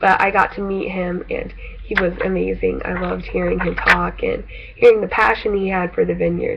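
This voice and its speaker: Noticeable background noise and audible room echo are heard as someone talks at a moderate pace. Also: woman. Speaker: video blogger. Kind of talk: casual vlog monologue. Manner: stuttering, hesitant with many fillers.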